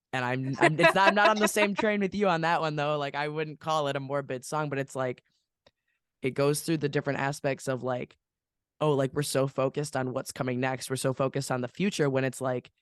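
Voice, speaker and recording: In a dry, close recording with no echo and a quiet background, a man talks in an unremarkable speaking voice, fairly high-pitched, with ordinary pitch variation. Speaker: podcast host. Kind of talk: casual podcast talk. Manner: casual, conversational.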